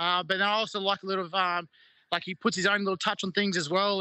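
Speaking at a fairly quick pace in an Australian accent, this raised, projected voice has a bright, sharp tone and monotone, flat intonation over a quiet background. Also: man, dry sound with no echo. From Queensland, Australia. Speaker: rugby league player. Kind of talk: interview. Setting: video call. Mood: relaxed, cheerful. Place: garden. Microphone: video call.

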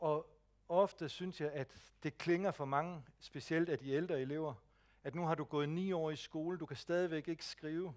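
At a fairly slow pace, a man speaks with fairly high pitch and fairly even intonation. The background stays quiet. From Jutland, Denmark; Denmark. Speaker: speech technology advisor; presenter. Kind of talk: lecture. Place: hall.

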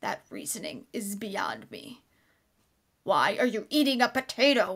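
A woman puts on a cartoonish character voice at a high pitch, moving at a moderate pace with ordinary pitch variation and big swings in loudness. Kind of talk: amateur anime dub acting. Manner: shouting, aggressive.

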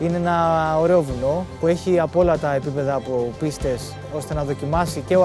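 Clear music plays in the background. A man speaks at a fairly high pitch with ordinary pitch variation. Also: dry sound with no echo. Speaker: ski mountaineer. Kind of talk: documentary interview narration. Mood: calm, reflective. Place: open country.

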